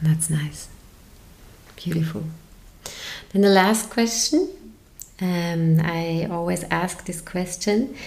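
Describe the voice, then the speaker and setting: Someone with a German accent speaks at a very slow pace with long, frequent pauses and ordinary pitch variation, in audible room echo. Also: woman, fairly low pitch for a woman. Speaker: podcast host, yoga teacher. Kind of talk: interview.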